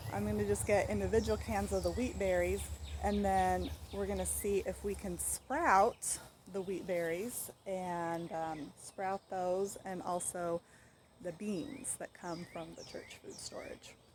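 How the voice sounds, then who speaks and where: Speaking fairly slowly, a woman talks in an American accent. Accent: southern US accent, comes and goes. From western US. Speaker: home cooking and food storage vlogger. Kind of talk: casual vlog talk. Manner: conversational, hesitant with fillers.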